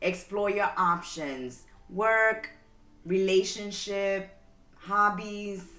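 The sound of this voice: A woman speaks at a very slow pace and medium pitch, with ordinary pitch variation. Her tone is bright and sharp, and the room echo is audible.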